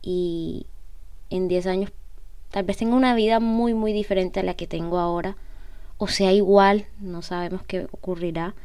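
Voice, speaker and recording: A woman speaks at a medium pitch in a dark, mellow tone, fairly slowly and with fairly even intonation. Long, frequent pauses break her speech, and room echo is audible. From Colombia, Cartagena. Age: 20s. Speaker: podcast host. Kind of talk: personal monologue.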